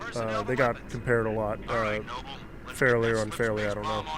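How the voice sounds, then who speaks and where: In a room with audible echo and noticeable background noise, a man with a medium-pitched voice speaks at a moderate pace in a monotone, flat intonation, leaving long, frequent pauses. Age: 20s. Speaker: gaming streamer. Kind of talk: casual chat. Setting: live stream. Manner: halting.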